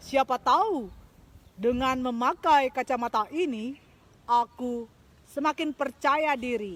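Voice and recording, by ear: A woman uses a put-on character voice, high-pitched and fairly bright in tone. She speaks at a slow pace with ordinary pitch variation.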